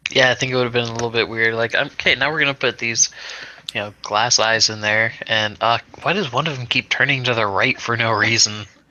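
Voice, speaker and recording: There's noticeable background noise as a man talks at medium pitch. His pace is fairly quick and his intonation fairly even. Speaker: game master. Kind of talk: tabletop roleplay session.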